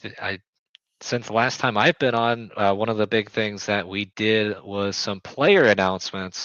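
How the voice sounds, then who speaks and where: Fairly low in pitch, a man speaks in an ordinary speaking voice with ordinary pitch variation. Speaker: basketball team owner and podcast host. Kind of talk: casual chat. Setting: live stream.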